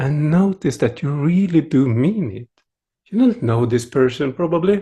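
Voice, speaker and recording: A man with a Swedish accent speaks at a moderate pace in a fairly high, somewhat breathy voice with lively intonation. His tone is dark, mellow and gentle, against a quiet background. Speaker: meditation teacher. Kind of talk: dharma talk.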